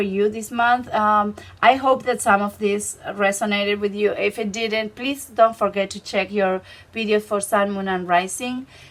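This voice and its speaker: Speaking with a non-native accent, a woman with a fairly high pitch and a bright, sharp tone keeps a moderate pace and fairly even intonation. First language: Spanish. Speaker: tarot reader. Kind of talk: tarot reading to camera. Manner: halting, with many fillers.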